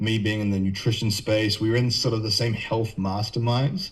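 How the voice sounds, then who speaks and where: With a New Zealand accent, a man speaks at a moderate pace in a fairly low, somewhat breathy voice. His intonation stays monotone and flat. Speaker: nutrition and health coach. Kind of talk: podcast interview.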